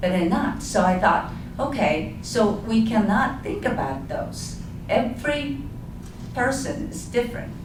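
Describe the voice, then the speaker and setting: A woman's fairly high voice with very wide pitch swings at a fairly slow pace, amid noticeable background noise and audible room echo. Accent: Japanese. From Japan. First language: Japanese. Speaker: community village co-founder and board chair. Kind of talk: panel discussion. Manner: halting.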